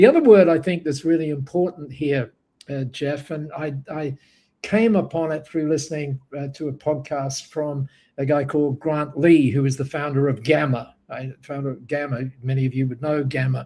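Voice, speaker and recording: In a very clean recording with a silent background, a man with a fairly high, somewhat breathy voice and a dark, mellow tone talks at a moderate pace with fairly even intonation. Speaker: business speaker. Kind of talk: panel interview. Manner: halting with fillers.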